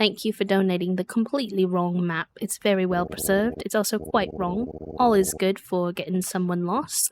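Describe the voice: This is plain reading aloud. Its intonation holds fairly even.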